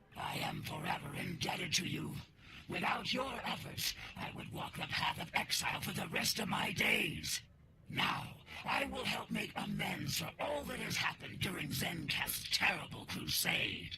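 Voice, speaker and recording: Loud background noise surrounds a man's put-on character voice. He moves at a moderate pace. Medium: machinima. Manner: formal, grave.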